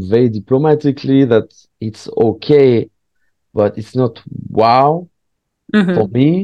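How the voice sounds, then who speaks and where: Someone speaks at a moderate pace with a French accent. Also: man. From southwest France. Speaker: stand-up comedian. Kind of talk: casual chat. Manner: halting.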